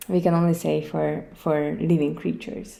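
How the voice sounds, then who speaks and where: A fairly slow delivery in a Hungarian accent, with audible room echo. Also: woman. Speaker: podcast host. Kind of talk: solo podcast talk. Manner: hesitant, many fillers.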